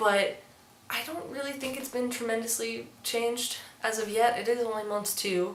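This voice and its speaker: Amid noticeable background noise and audible room echo, a woman talks at a moderate pace with a fairly high pitch and fairly even intonation. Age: 20s. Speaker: transmasculine vlogger and musician. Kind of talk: casual vlog. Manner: casual, with fillers.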